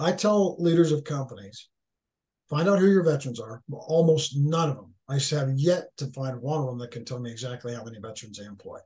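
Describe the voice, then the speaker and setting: With an American accent, a man speaks at a fairly high pitch, his tone dark, mellow and somewhat breathy. His intonation is lively, and his loudness swings widely. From Northern California. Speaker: author, leadership speaker, military veteran; guest. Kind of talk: podcast interview, conversational. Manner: halting, repeats words. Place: home room. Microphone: video call.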